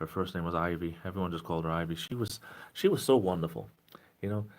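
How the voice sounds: A man with a low voice and a southeastern New England accent talks fast, his pitch varying in an ordinary way.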